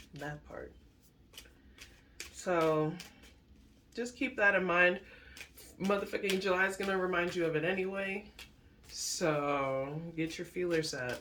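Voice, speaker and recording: Speaking with an American accent at a fairly slow pace, the voice leaves long, frequent pauses over noticeable background noise. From Alaska and South Florida, Caribbean parents. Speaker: tarot reader. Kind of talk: casual tarot reading livestream. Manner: animated.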